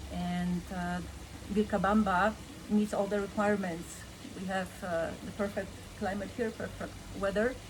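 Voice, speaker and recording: A woman's medium-pitched voice in a Polish accent, monotone and flat, with long, frequent pauses and audible room echo. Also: moderate pace. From Poland. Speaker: insurance agent. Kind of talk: interview.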